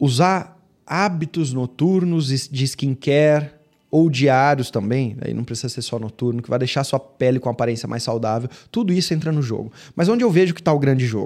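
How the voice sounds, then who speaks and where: A normal speaking voice from a man, fairly high in pitch with ordinary pitch variation, at a moderate pace. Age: 30s. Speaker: podcast host, medical marketing consultant. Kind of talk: solo lecture.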